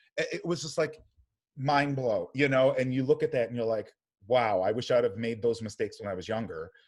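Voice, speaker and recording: Speaking at a fairly quick pace with an American accent, a man at medium pitch comes through in a very clean recording with a silent background. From US Midwest, Cleveland area. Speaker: podcast guest, performer. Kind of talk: casual chat. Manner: loud.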